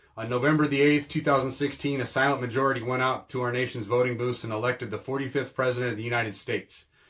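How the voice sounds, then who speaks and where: Amid noticeable background noise, a man at medium pitch rattles on at a very fast pace in a monotone, flat intonation with hardly any pauses. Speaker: militia group spokesman. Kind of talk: reading aloud a statement.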